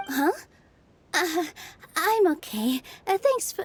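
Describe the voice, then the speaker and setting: A female-sounding put-on character voice, pitched extremely high for a woman and delivered at a fairly slow pace. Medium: video game. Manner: soft, kind.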